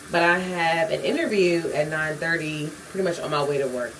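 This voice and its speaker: A woman at a fairly low pitch and a fairly quick pace, with audible room echo and noticeable background noise. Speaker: vlogger. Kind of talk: casual vlog talk. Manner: fast, rushed; occasional stuttering.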